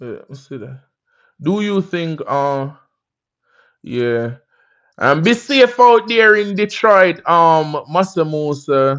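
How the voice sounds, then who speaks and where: Over a quiet background, a man with a Jamaican accent speaks with lively intonation. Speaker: livestream host. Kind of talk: casual livestream chat. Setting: livestream on laptop. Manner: animated.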